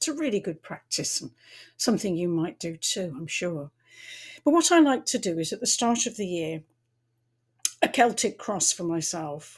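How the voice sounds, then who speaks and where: A woman of medium pitch speaks at a moderate pace, somewhat breathy, with very wide pitch swings. She leaves long, frequent pauses, and the recording is very clean with a silent background. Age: 70s. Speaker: tarot reader and astrologer. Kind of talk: casual talk to camera. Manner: halting, with repetitions.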